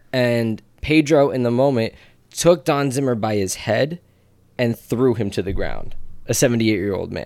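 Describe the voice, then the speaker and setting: A man with a New Jersey accent, medium pitch and ordinary pitch variation, at a moderate pace. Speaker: podcast co-host. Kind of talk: casual chat.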